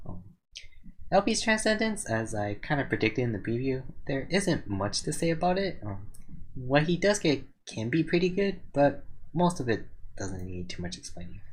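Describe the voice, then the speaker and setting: A man speaks in a fairly high voice that is somewhat breathy. His pitch swings very widely. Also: moderate pace. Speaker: gaming video reviewer. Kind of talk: game skill review commentary. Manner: hesitant, some stuttering.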